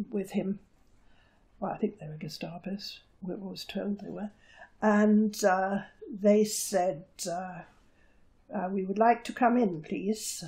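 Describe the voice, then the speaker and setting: A woman with a fairly high, somewhat breathy voice and a dark, mellow tone speaks at a very slow pace. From Jersey, Channel Islands. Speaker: war-time occupation witness; witness. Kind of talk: oral history interview. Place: home room. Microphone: lapel.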